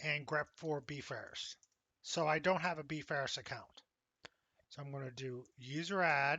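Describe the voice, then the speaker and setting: A man with a fairly high pitch and a Pennsylvania accent, fairly slow pace, with long, frequent pauses. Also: fairly even intonation. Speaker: college instructor. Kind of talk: tutorial.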